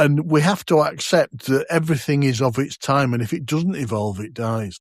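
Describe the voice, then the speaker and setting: This man has a normal speaking voice, a fairly high pitch, lively intonation and a moderate pace. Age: 60s. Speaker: podcast host. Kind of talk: casual chat.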